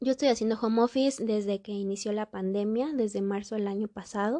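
The voice has a dark, mellow tone and a moderate pace, captured dry and close with no echo over a quiet background. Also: woman. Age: 20s. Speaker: podcast host and pedagogue. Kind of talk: solo podcast monologue. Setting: recording at home.

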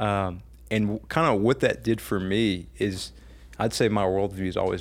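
Vocal fry in a fairly low male voice, its pitch varying in an ordinary way. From Louisiana, St. Charles Parish. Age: 20s. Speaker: pastor and political candidate. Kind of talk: casual interview.

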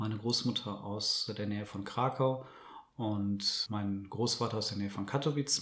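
A man's fairly low voice at a moderate pace. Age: 30s. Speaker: journalist and author. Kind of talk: interview. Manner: careful, measured.

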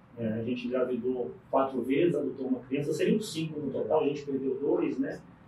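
Noticeable background noise and audible room echo surround a man with a fairly high pitch and ordinary pitch variation. He talks at a fairly quick pace with hardly any pauses. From Brasília, Brazil (born in Paraíba). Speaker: business owner. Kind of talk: interview. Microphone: poor audio quality.

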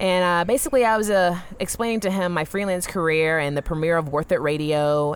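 With an American accent, a woman uses a normal speaking voice, fairly low in pitch, at a fairly quick pace with hardly any pauses, ordinary pitch variation and very even loudness. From US South. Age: 20s. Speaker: freelance entrepreneur. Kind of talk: casual interview. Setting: festival interview.

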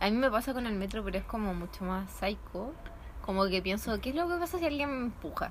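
Against noticeable background noise, a woman with a Chilean accent talks at a fairly quick pace and fairly high pitch, her pitch swinging very widely. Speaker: university student. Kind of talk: casual chat. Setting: outdoors in a patio.

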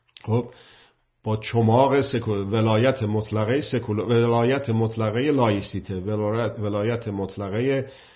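A man speaks somewhat breathily, at a fairly slow pace and with fairly even intonation. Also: medium pitch for a man. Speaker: political commentator. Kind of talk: monologue talk.

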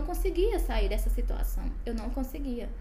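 A woman speaks over noticeable background noise. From Brazil, Goiás. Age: 20s. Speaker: medical student sharing faith testimony. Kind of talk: testimony.

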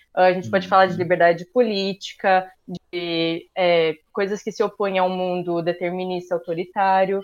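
At a moderate pace, a woman with medium pitch speaks in a monotone, flat intonation. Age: 20s. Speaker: social sciences student. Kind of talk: casual chat.

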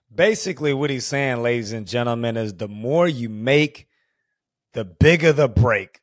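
A man with an American accent uses a normal speaking voice at medium pitch, with ordinary pitch variation at a moderate pace. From Houston, Texas. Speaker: podcast host. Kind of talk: casual chat.

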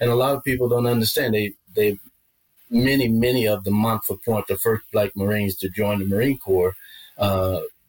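A man speaks with fairly even intonation and a somewhat breathy voice, recorded dry and close with no echo. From Arkansas. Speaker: retired senior military leader. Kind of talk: interview conversation.

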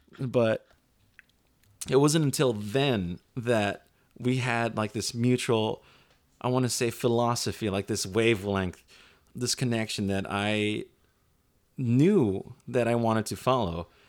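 Very slowly and with long, frequent pauses, a man speaks at medium pitch with ordinary pitch variation in a very clean recording with a silent background. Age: 30s. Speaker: podcast host, filmmaker. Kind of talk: casual chat. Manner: low-energy.

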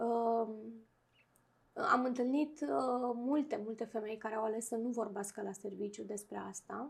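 The woman has a normal speaking voice and fairly high pitch. She talks at a fairly slow pace with ordinary pitch variation. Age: 40s. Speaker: clinical psychologist. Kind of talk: interview.

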